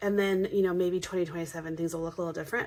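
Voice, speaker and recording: Noticeable background noise behind a woman's voice of medium pitch. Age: 30s. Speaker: personal finance vlogger. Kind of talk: casual budgeting tutorial. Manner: hesitant with many fillers.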